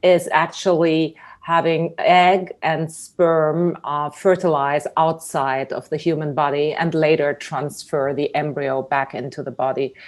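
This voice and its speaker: Against a quiet background, a woman with a German accent speaks at a very deep, low pitch and a fairly slow pace, with fairly even intonation and hardly any pauses. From Germany. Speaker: tech company CEO. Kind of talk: interview. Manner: halting, many fillers.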